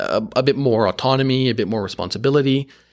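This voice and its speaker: A man with an Ontario accent is heard on a very clean recording with a silent background. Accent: Canadian (Ontario) English. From Canada, Markham (Toronto suburb). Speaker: career interview guest. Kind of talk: casual interview. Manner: hesitant, many filler words.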